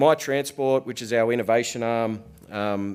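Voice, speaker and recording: A man with a New Zealand accent, fairly low in pitch and fairly slow, with ordinary pitch variation, on a very clean recording with a silent background. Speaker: business executive, conference presenter. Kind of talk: conference presentation.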